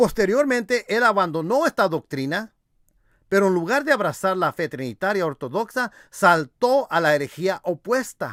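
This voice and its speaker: This man's voice is high in pitch. Very wide swings mark his pitch. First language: English (speaking Spanish). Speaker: religious apologetics youtuber. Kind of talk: video rebuttal commentary. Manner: halting with repetitions.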